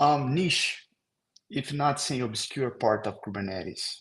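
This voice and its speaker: Speaking at a fairly slow pace, a man with a Brazilian accent uses ordinary pitch variation. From Brazil, Rio de Janeiro. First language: Portuguese. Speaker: software engineer. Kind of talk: technical presentation.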